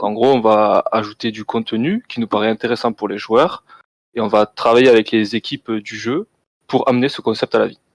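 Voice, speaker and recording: The man's pitch sits in the medium range. He keeps a moderate pace and a fairly even intonation. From southern France, Toulouse. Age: 20s. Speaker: game designer. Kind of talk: interview.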